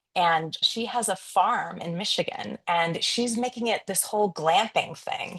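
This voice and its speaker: Using a normal speaking voice, a woman of medium pitch talks at a fairly slow pace with hardly any pauses and ordinary pitch variation. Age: 50s. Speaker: photographer and business coach. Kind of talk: podcast interview.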